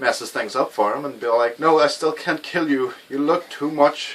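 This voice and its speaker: A man with an Irish accent, fairly high-pitched, at a moderate pace with ordinary pitch variation, over noticeable background noise. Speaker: game reviewer. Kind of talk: video game review. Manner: casual, hesitant with many fillers.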